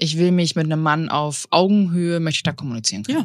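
A woman's fairly low-pitched voice at a very fast pace with lively intonation. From Bavaria, Tegernsee area. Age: 30s. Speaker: podcast co-host. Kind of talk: casual chat.

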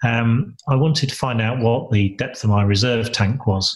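Very slowly and somewhat breathily, a man speaks at medium pitch with fairly even intonation. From Lincolnshire, England. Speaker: entrepreneur and business mentor. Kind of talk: interview. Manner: halting, with frequent repetitions.

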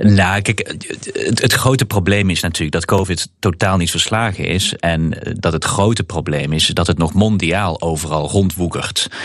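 A man with a very deep, low pitch talks with ordinary pitch variation over noticeable background noise. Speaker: member of European Parliament. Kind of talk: casual chat. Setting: remote from parliament in Strasbourg.

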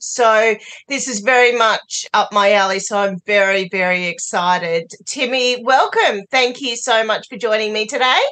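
At a fairly slow pace, a woman with an Australian accent speaks in a fairly high, bright, sharp voice with lively intonation. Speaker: podcast host. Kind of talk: casual interview chat.

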